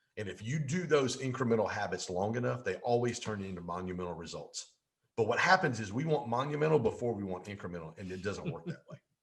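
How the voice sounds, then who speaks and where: A very fast, animated man's voice, somewhat breathy, with very wide pitch swings and big swings in loudness. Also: medium pitch for a man. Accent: American. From US Midwest and Mississippi. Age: 50s. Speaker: business coach and real estate professional. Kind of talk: podcast interview.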